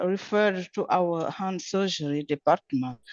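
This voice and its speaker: There's a non-native accent in this woman's speech. Her pitch is medium and her intonation lively. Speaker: surgeon. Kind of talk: case presentation. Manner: halting.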